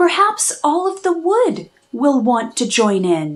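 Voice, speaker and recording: In a put-on character voice, a woman speaks fairly slowly at a high pitch with very wide pitch swings. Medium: read story. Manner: quiet, shy.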